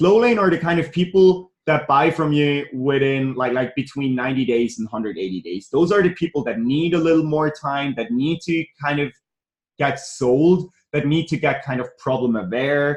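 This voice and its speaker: A man with a non-native accent and a fairly high pitch talks at a moderate pace with lively intonation. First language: not English. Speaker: business coach. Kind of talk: online training. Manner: hesitant, repeats words.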